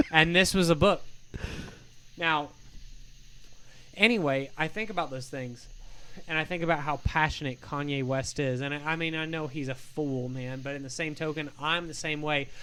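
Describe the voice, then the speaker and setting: Loud and bright with a sharp tone, a man with an American accent speaks at a moderate pace in a fairly high pitch, with ordinary pitch variation and long, frequent pauses. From Michigan. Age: 30s. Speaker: singer-songwriter. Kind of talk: casual chat. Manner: animated.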